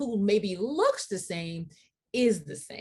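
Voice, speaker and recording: A woman's somewhat breathy voice at medium pitch, with very wide pitch swings. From US, Haitian immigrant household. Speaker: diversity and equity speaker. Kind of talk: lecture.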